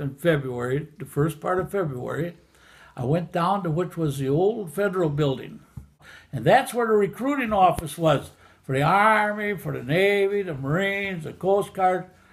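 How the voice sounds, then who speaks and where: A man talks with lively intonation. His pitch is high. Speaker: WWII Navy veteran. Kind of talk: interview answer. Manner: storytelling, casual. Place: home room. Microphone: phone near.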